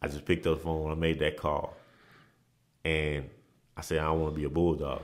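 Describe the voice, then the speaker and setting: A man's very deep, low voice with vocal fry at a fairly quick pace. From Dallas, Texas (born in Nigeria, moved at seven or eight). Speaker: former college basketball player. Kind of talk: casual interview.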